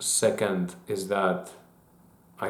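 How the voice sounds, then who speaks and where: In a room with audible echo, a man with a very deep, low voice talks in a flat monotone. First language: not English. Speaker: YouTuber. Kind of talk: casual monologue. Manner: halting, with fillers and restarts.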